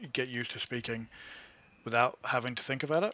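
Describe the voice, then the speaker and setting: A man speaks with an English accent. His pitch sits in the medium range. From England. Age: 30s. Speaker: gaming streamer. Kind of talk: live gameplay stream chat. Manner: hesitant, many fillers. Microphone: internet cutting out.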